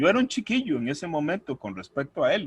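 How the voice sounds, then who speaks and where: This man's fairly high voice swings very widely in pitch. He speaks at a moderate pace. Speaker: church deacon. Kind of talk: testimony. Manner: halting, repetitive.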